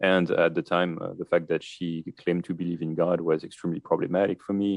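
In a French accent, a man speaks with a very deep, low pitch. His delivery is fairly quick, with monotone, flat intonation. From France. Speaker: author. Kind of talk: radio interview.

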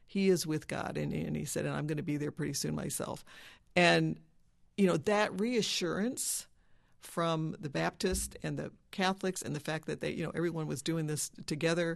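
A moderately paced woman's voice over a quiet background. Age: 60s. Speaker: dentist. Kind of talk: personal testimony interview.

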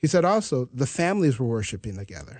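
A man talks at a fairly quick pace in a fairly high voice with very wide pitch swings. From US Midwest (North Dakota). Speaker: pastor. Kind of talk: Bible study conversation.

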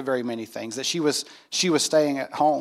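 A man with an American accent talks at a fairly quick pace in an ordinary speaking voice, his pitch fairly high with ordinary variation. The recording is very clean, with a silent background. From US South, North Carolina. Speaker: pastor. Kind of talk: testimony. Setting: stage with audience.

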